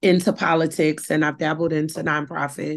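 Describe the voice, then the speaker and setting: A woman speaks with a fairly low pitch and vocal fry. The background is quiet. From New Orleans, Louisiana. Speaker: nonprofit founder and activist. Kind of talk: interview.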